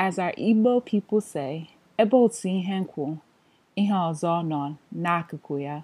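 A woman's fairly low voice with a dark, mellow tone, ordinary pitch variation and a fairly slow pace, in a dry, close sound with no echo. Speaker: learner. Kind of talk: tutorial.

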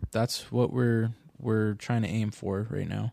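A man with a Californian accent speaks very slowly at a medium pitch. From Southern California, Orange County. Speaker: podcast host. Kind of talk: casual chat.

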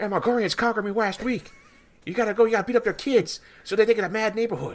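Someone does a put-on character voice at a fairly high pitch and a very fast pace. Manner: cartoonish impression.

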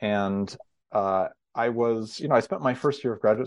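An American accent marks this man's ordinary speaking voice, which sits at a fairly low pitch with ordinary pitch variation. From US West Coast (Northern California). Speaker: history professor and author. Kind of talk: interview. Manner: frequent fillers and restarts.

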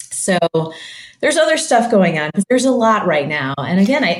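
A woman with a Midwestern American accent, amid audible room echo. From US Midwest (Michigan). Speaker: human rights researcher and author. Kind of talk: interview.

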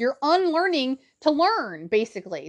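Animated in tone, a woman's voice moves through very wide pitch swings. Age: 30s. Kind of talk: solo podcast monologue.

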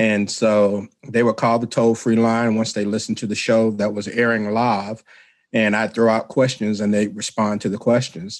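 In a Southern US accent, a man at medium pitch speaks in a monotone, flat intonation at a moderate pace over a quiet background. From Mississippi. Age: 50s. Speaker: radio show host. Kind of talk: casual chat.

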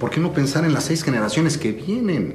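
A man's intonation stays lively while noticeable background noise sounds behind him. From Mexico City. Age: 60s. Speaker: entrepreneur and advisor. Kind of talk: interview. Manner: animated; halting.

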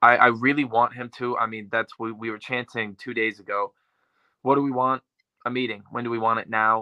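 A man with a plain, everyday voice speaks at medium pitch and a moderate pace. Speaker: actor. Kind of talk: interview chat. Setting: video call.

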